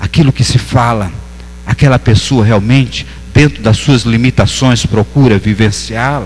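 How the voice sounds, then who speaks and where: With a northeastern Brazilian accent, a man speaks at a fairly slow pace with ordinary pitch variation over noticeable background noise. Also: medium pitch for a man, very even loudness. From Northeast Brazil. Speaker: pastor. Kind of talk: sermon. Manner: halting.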